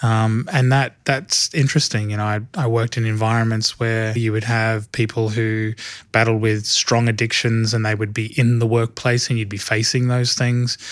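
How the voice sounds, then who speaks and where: A man with an Australian accent speaks at a medium pitch and moderate pace, in a monotone, flat way with hardly any pauses. The recording is very clean, with a silent background. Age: 30s. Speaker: church film and TV department head. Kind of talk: interview.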